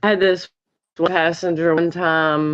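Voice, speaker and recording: Music plays in the background. The speaker has a Southern US accent. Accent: Southern drawl. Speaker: rideshare driver. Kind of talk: casual chat.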